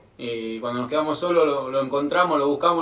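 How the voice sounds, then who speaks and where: Audible room echo surrounds a man speaking at a moderate pace and fairly high pitch with ordinary pitch variation. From Argentina. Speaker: guest's brother; guest. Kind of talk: recorded video message. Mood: amused childhood anecdote. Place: home room. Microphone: video call.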